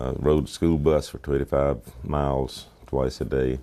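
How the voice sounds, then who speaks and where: In an Appalachian accent, a dark, mellow voice moves at a very slow pace with monotone, flat intonation. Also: man. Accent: Southern US (Appalachian). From US South, North Georgia mountains. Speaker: war veteran. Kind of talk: oral history interview.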